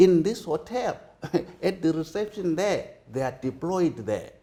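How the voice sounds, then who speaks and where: Speaking at a fairly slow pace, a man uses a high pitch and a dark, mellow tone with lively intonation. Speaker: politician and lawyer. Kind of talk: interview. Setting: hotel. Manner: halting.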